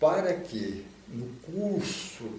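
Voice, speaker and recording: A man speaks with very wide pitch swings. Room echo is audible. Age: 70s. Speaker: anti-drug program volunteer. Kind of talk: documentary interview.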